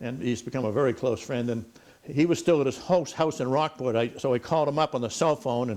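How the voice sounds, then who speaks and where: The speaker talks at a very fast pace with an American accent. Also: man. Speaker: retired fisherman and author. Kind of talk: talk to an audience, storytelling. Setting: talk before a live audience. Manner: halting, many fillers and repeats.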